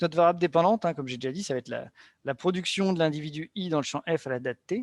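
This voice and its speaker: A man talks at a fairly quick pace with ordinary pitch variation. The recording is very clean, with a silent background and a dry, close sound with no echo. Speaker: economics researcher presenting a paper. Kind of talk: academic seminar presentation. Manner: fast.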